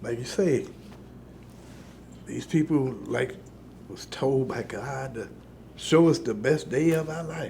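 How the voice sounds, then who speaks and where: In a dark, mellow, somewhat breathy tone with an American accent, the voice moves at a very slow pace with long, frequent pauses, ordinary pitch variation, big swings in loudness and audible room echo. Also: man, fairly high pitch for a man. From Chicago, US Midwest. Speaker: war veteran. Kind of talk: interview testimony.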